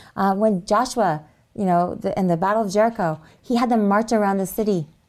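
Using a plain, everyday voice, a woman talks at a fairly quick pace with medium pitch and ordinary pitch variation. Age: 40s. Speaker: health retreat worker and teacher. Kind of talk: interview.

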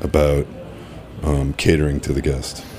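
A man with an American accent speaks in a very deep, low voice. Noticeable background noise can be heard. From Massachusetts, Cape Cod. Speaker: executive chef. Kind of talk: interview. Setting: studio.

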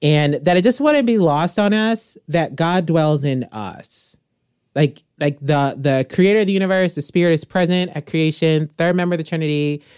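On a very clean recording with a silent background, a woman with an American accent and a plain, everyday voice speaks at a moderate pace, with fairly low pitch and ordinary pitch variation. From US Midwest. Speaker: podcast host, Bible teacher. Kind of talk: casual faith conversation.

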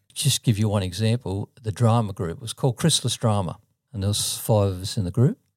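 A man with an Australian accent speaks at a fairly quick pace and fairly low pitch. His pitch varies in an ordinary way, with a dry, close sound and no echo. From Sydney, Australia (Mortdale, southern suburbs). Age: 70s. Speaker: church musician and travelling gospel performer. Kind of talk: casual interview storytelling.

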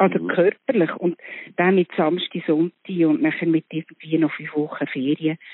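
A woman talks at a moderate pace in an ordinary speaking voice. Her pitch is fairly low and her intonation fairly even. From Switzerland, Bern. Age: 60s. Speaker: actress. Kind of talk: casual chat. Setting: phone call.

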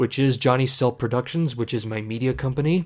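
In a very clean recording with a silent background, a man talks with a Canadian accent. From Canada, Ontario. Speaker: organist and podcast co-host. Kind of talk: casual chat. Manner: halting, many fillers and restarts.

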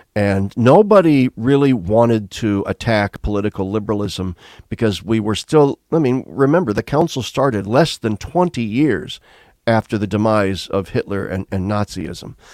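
Here is a man with an ordinary speaking voice, an American accent and fairly low pitch, talking at a moderate pace with lively intonation. The sound is dry and close with no echo, on a very clean recording with a silent background. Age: 60s. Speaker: retired theology professor. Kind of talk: interview conversation.

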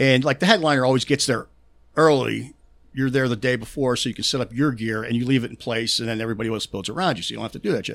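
A man with a Pittsburgh accent, medium pitch and a very fast pace. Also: ordinary pitch variation. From Pittsburgh, US. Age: 50s. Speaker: concert stagehand and touring crew member. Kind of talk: casual chat. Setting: studio. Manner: stutters and pauses often; animated, profane.

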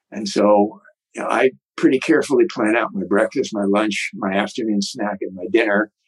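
Speaking at a moderate pace, a man has a fairly low pitch and an unremarkable speaking voice. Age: 60s. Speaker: author and retired martial arts teacher. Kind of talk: interview.

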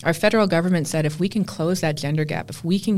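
A woman speaks with a Canadian accent and a fairly low pitch. She talks very fast. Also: very clean recording, silent background. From Canada. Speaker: tech executive and entrepreneur. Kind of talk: interview.

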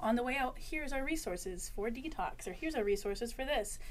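Someone speaks with lively intonation in an American accent. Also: woman. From Western Massachusetts. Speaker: senior peer specialist, in recovery. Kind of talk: interview.

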